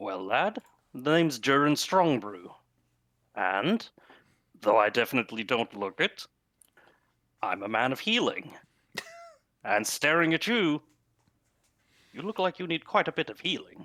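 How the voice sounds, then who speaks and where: The man uses a put-on character voice with fairly high pitch and very wide pitch swings. His moderate pace is broken by long, frequent pauses. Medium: actual play. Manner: hearty, folksy.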